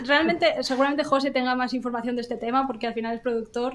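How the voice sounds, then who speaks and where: With a fairly high pitch, a woman speaks in a monotone, flat intonation. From Asturias, Spain. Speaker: visual effects line producer. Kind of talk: casual chat.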